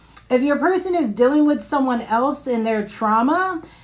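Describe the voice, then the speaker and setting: Noticeable background noise runs under the recording. Over it, a woman talks at a high pitch. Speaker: tarot reader. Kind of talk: live tarot reading stream. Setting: live stream. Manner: casual, chatty.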